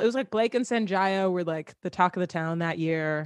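A woman with a normal speaking voice and an American accent talks with lively intonation, the sound dry and close with no echo against a quiet background. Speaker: singer-songwriter and content creator. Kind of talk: casual chat.

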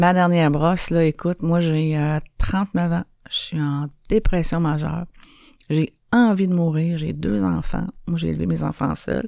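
A woman speaks at a fairly slow pace with a very deep, low pitch. Her tone is dark and mellow, with ordinary pitch variation. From Montreal, Quebec (Saint-Henri). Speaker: recovering alcoholic sharing her story. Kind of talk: personal testimony. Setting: radio studio. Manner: halting, many fillers.

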